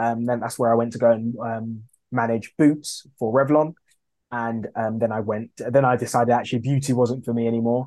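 A dark, mellow tone carries monotone, flat intonation at a moderate pace. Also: man, medium pitch for a man. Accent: London. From East London, England. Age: 30s. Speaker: food brand founder. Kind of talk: interview.

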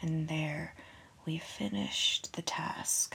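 Very slow whispering in a soothing, gentle tone. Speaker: podcast host. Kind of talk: guided meditation. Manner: slow, soothing, hushed, sleepy bedtime pacing; gentle, calming, friendly.

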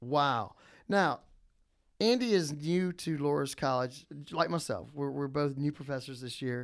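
A man with an American accent speaks fairly slowly, his fairly high voice showing ordinary pitch variation. The recording is very clean, with a silent background. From New Orleans, Louisiana. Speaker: college professor, podcast co-host. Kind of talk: casual chat. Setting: studio. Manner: animated.

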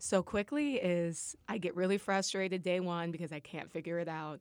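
On a very clean recording with a silent background, a woman with an American accent and a plain, everyday voice speaks with fairly even intonation. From US Midwest, Nebraska (Lincoln). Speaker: amateur boxer, former musical theater performer. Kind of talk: casual interview chat.

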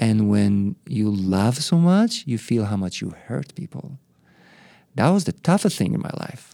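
With an Israeli accent, the speaker uses a dark, mellow tone and very wide pitch swings at a fairly slow pace, in a very clean recording with a silent background. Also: man, medium pitch for a man. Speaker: spiritual teacher and monk. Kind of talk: interview.

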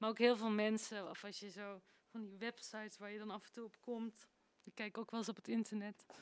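A woman talks at a fairly quick pace in a fairly high pitch, her intonation flat and monotone while her loudness swings widely. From Netherlands. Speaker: singer. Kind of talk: interview.

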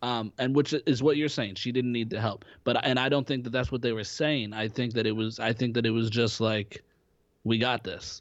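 Fairly even intonation and a moderate pace in a normal speaking voice. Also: man, medium pitch for a man. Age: 20s. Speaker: podcast co-host, actor. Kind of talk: casual chat.

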